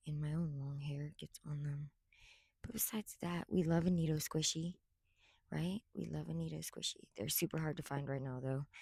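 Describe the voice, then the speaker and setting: A woman speaks at a moderate pace with a very deep, low pitch, a dark, mellow, somewhat breathy tone, and ordinary pitch variation, the sound dry and close with no echo. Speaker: content creator reviewing toys. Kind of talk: casual product review. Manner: whispering.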